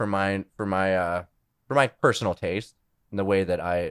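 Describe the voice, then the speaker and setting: An ordinary speaking voice at a fairly slow pace. The recording is very clean with a silent background and a dry, close sound with no echo. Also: man. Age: 20s. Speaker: musician. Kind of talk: casual interview chat.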